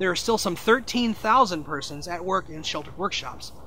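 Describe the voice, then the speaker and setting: A man talks with an American accent. His pitch varies in an ordinary way. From St. Louis, Missouri. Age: 40s. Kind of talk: advocacy narration.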